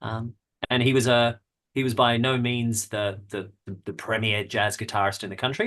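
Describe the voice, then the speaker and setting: A man with an Australian accent, medium pitch, quiet background. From Australia, Melbourne. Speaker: jazz guitarist and music researcher. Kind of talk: podcast interview. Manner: halting, many repeated words.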